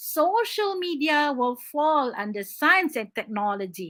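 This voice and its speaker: A high-pitched woman's voice in a Malaysian accent, bright and sharp, animated, with very wide pitch swings. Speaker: English teacher. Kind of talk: online exam-prep lesson.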